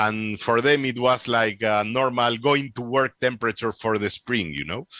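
A man with a Peruvian accent speaks at a moderate pace in a medium pitch with a bright, sharp tone and ordinary pitch variation, the sound dry with no echo and the background quiet. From Peru, Lima. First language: Spanish. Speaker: amateur radio presenter; radio presenter. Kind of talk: conference Q&A. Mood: chatty, animated. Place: home room. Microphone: headset.

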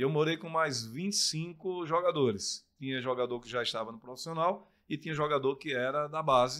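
The speaker moves at a moderate pace in a bright, sharp tone, with big swings in loudness over a quiet background. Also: man, fairly high pitch for a man, ordinary pitch variation, hardly any pauses. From Brazil, Pernambuco interior (Surubim); Pernambuco, Brazil. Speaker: sports commentator and former footballer; sports commentator. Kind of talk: casual interview chat. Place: studio. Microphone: studio mic.

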